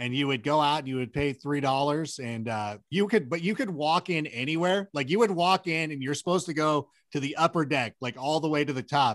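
In an American accent, the speaker talks at a fairly quick pace with ordinary pitch variation and a dry, close sound with no echo. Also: man. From Southern California (Corona). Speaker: sports analyst and Angels fan. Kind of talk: casual chat. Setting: video call.

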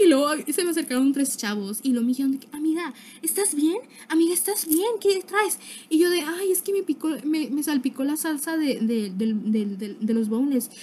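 Noticeable background noise sits behind a woman with a high pitch. She swings her pitch very widely at a moderate pace. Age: young. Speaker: podcaster. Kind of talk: casual monologue. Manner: animated.

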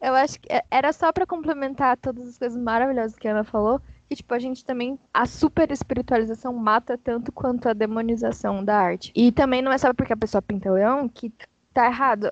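A woman with a high pitch speaks fairly quickly, her pitch varying in an ordinary way. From São Paulo, Brazil. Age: 20s. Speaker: illustrator. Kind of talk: casual panel discussion.

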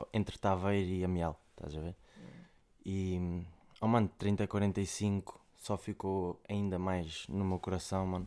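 A man's very deep, low voice, very slow and flat in intonation, with a dark, mellow tone. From Portugal, Coimbra area. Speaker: rapper. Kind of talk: casual chat.

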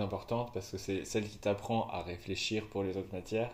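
The delivery is very fast and somewhat breathy. Intonation stays fairly even. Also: man. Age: 20s. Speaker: podcast co-host, student. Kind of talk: casual chat. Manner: halting.

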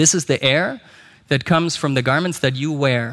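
A man with a German accent, medium pitch, fairly even intonation and fairly quick pace, on a very clean recording with a silent background. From Germany. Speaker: company executive. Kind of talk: conference talk. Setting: stage with audience.

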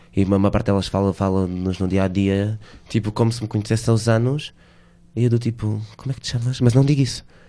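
Speaking very fast, a man with a dark, mellow tone keeps a fairly low pitch and fairly even intonation. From Portugal, Alentejo (Reguengos de Monsaraz). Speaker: drag queen. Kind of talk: interview. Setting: radio studio.

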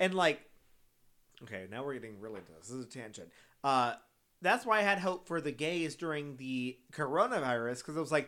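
A man with an American accent has a bright, sharp tone and very wide pitch swings, captured on a very clean recording with a silent background. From Texas, San Antonio. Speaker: podcast co-host, drag race recap. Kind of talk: casual chat. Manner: animated.

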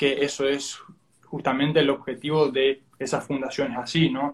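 A man with a fairly high pitch, talking at a fairly quick pace. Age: 20s. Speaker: student interviewer. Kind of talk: interview. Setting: Instagram live stream. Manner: halting.

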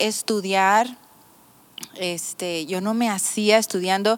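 Very slow speech comes through on a very clean recording against a silent background. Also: woman. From Mexico, Mazatlán (Sinaloa). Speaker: pastor. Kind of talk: casual chat.

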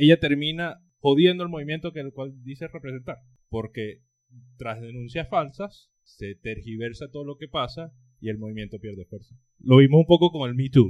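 With a normal speaking voice, a man talks at a moderate pace and a fairly high pitch, showing ordinary pitch variation and big swings in loudness. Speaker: podcast co-host, political scientist. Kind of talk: casual chat.

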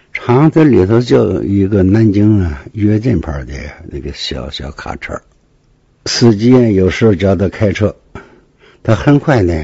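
A man at a fairly low pitch, somewhat breathy, with lively intonation and a fairly slow pace. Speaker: retired police detective. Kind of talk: first-hand case storytelling. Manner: halting, many fillers.

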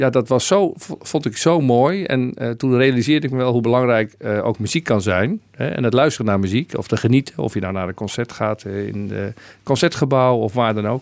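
A man with an ordinary speaking voice talks at a fairly quick pace and a medium pitch, his intonation lively. The recording is very clean, with a silent background. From Netherlands (Dordrecht). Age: 50s. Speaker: provincial governor. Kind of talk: radio interview.

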